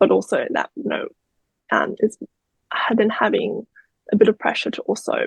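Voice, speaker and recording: Dry and close with no echo, a woman with an Australian accent speaks at a fairly quick pace. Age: 30s. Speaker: crime survivor. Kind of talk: interview.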